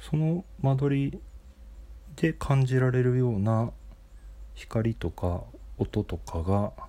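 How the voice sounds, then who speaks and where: A man speaks at a medium pitch with a dark, mellow tone and lively intonation, moving at a very slow pace with long, frequent pauses, on a very clean recording with a silent background. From Japan, Nagoya. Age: 40s. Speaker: podcaster. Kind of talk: solo monologue. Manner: halting, many fillers.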